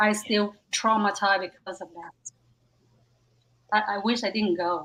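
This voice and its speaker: Speaking fairly slowly with a Vietnamese accent, the voice has a bright, sharp tone, fairly even intonation and big swings in loudness. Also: woman, medium pitch for a woman. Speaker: stand-up comedian. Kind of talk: casual chat.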